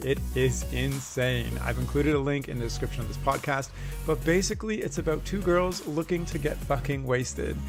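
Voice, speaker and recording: A man's fairly quick speech with hardly any pauses, music in the background. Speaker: podcast host. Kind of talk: podcast intro.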